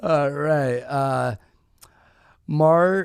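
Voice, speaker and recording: A man talks at a very slow pace, with ordinary pitch variation. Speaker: livestream debate host. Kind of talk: reading donations on a livestream; casual chat. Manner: halting when reading aloud.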